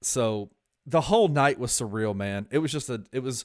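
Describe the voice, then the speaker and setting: A man speaks at a moderate pace with medium pitch and ordinary pitch variation on a very clean recording with a silent background. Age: 40s. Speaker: sports podcast co-host. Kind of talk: casual sports chat.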